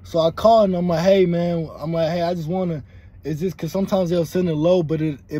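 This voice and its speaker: This is a man with a high pitch. His tone is dark and mellow. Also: dry sound with no echo. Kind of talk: casual vlog chat. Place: car.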